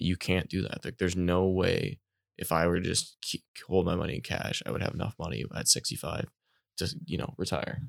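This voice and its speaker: Very deep and low, a man's voice with vocal fry and a Canadian accent moves at a fairly quick pace with lively intonation, in a very clean recording with a silent background and a dry, close sound with no echo. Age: 20s. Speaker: podcast co-host. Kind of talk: casual interview.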